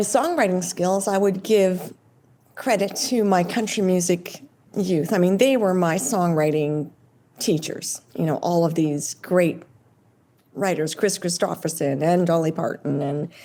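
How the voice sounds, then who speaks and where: A woman with a Canadian accent speaks at a fairly slow pace and a medium pitch. Her tone is dark and mellow, with lively intonation. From Ontario, Canada. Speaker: country pop singer. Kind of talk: interview answer.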